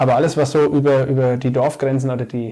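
This man's voice sits at a medium pitch, delivered in a flat, monotone intonation. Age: 30s. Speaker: civil engineering project manager and regional marketplace founder. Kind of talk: casual interview.

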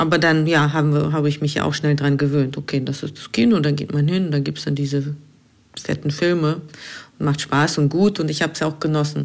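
Her voice is very deep and low for a woman, delivered in a monotone, flat intonation. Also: fairly quick pace. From Russia, St. Petersburg. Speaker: filmmaker. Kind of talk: voice message monologue.

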